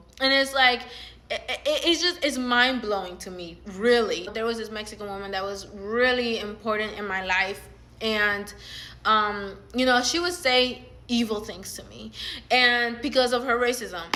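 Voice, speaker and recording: A woman talks in an animated tone with ordinary pitch variation and big swings in loudness, with audible room echo around her. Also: fairly high pitch for a woman, moderate pace. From Latin America. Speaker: social media commentator. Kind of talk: casual vlog monologue. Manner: animated, filler-heavy.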